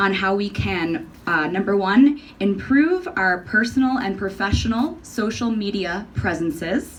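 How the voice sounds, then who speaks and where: A woman in an American accent, at a fairly slow pace and medium pitch, with very wide pitch swings and audible room echo. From New York. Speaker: conference presenter. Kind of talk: conference talk.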